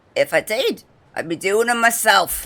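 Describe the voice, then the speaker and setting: A female-sounding voice puts on a raspy character voice. The pitch sits fairly high. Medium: game stream.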